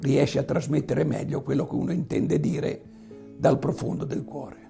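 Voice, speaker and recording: Music plays in the background while the speech goes on at a moderate pace. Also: man. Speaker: farmer, beekeeper and local historian. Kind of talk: interview answer.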